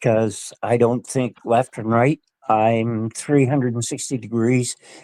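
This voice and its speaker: This man has a Nova Scotian accent and a dark, mellow tone. He talks at a fairly slow pace in a monotone, flat delivery. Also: medium pitch for a man. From Nova Scotia, Canada. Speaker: guest sharing paranormal experiences. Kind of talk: casual interview, storytelling. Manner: halting, repetitive.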